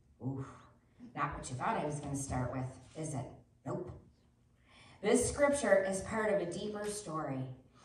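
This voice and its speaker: Amid light background noise and audible room echo, a woman speaks at a moderate pace, with very wide pitch swings and big swings in loudness. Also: fairly low pitch for a woman. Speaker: preacher. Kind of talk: sermon. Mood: lively, warm. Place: church. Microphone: camera far.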